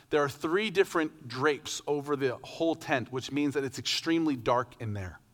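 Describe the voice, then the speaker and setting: Speech comes at a fairly quick pace with lively intonation and an American accent. The recording is very clean, with a silent background. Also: man. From US West Coast (southern Oregon). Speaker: pastor. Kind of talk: sermon. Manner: casual, conversational.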